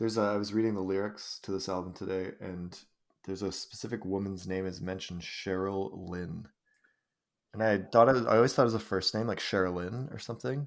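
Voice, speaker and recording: An unremarkable speaking voice with a Canadian accent moves at a fairly quick pace on a very clean recording with a silent background. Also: man, fairly low pitch for a man, fairly even intonation. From British Columbia, Canada. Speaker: podcaster and high school English teacher. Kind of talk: casual chat.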